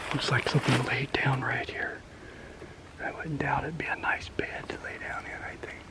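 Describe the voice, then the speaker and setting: Whispering at a moderate pace with an American accent, a man keeps a relaxed tone while noticeable background noise runs underneath. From rural US. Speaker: outdoors vlogger. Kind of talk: casual outdoor vlog talk. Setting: outdoors in woods. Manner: relaxed, halting with fillers.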